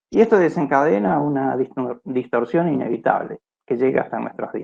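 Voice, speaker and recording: Lively intonation marks this speech, which keeps a moderate pace. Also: man. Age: 60s. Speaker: philosophy researcher, lecturer. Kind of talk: lecture. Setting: video call. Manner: halting.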